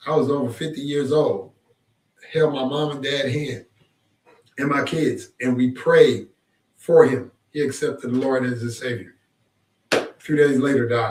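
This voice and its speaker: A man speaks in a fairly high, somewhat breathy voice. He goes at a fairly slow pace with long, frequent pauses. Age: 60s. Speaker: pastor and former sheriff. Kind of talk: casual chat. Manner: emphatic, plain-spoken.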